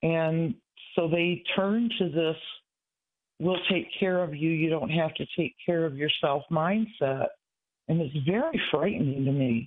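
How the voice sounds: A man's fairly high voice at a fairly slow pace. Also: ordinary pitch variation.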